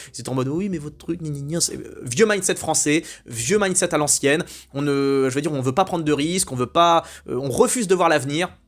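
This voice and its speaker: Animated in tone, a man talks at a fairly quick pace. His pitch is fairly high, with ordinary variation. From France. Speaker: YouTube commentator. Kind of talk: opinion monologue. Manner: animated, hesitant with repetitions.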